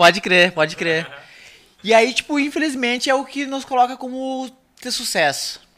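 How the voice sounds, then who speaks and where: Projecting a raised voice at an extremely high pitch, a man speaks at a moderate pace with lively intonation and big swings in loudness. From Rio Grande do Sul, Brazil. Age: 30s. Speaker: history teacher. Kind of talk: casual chat.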